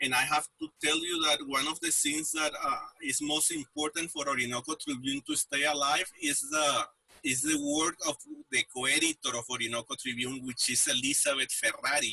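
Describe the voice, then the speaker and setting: A man with a Spanish accent talks at a very even loudness, the sound dry and close with no echo. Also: moderate pace. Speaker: news website editor. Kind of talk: interview. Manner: halting, many fillers and repetitions.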